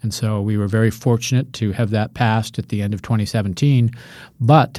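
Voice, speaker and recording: On a very clean recording with a silent background, a man with an American accent talks at a fairly quick pace, his dark, mellow tone kept to a fairly even intonation. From Colorado. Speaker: beer trade association executive. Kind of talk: interview.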